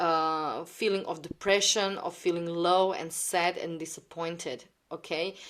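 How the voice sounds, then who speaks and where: With a non-native accent, the speech moves at a fairly slow pace in monotone, flat intonation. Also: woman, fairly low pitch for a woman. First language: not English. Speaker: tarot card reader. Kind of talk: tarot reading monologue. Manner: halting, many fillers.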